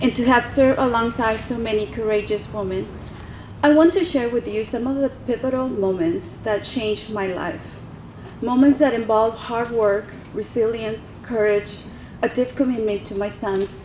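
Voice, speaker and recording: At a moderate pace, a woman with a fairly high pitch and ordinary pitch variation speaks over noticeable background noise. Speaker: military reservist speaking at veterans event. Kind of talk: prepared speech. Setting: podium at public event with audience.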